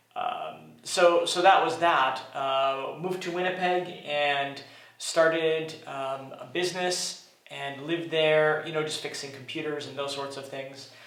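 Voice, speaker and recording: Delivered at a fairly slow pace with fairly even intonation, the speech swings widely in loudness amid noticeable background noise and audible room echo. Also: man, fairly high pitch for a man. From Canada, Montreal. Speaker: vlogger, co-host. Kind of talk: casual chat.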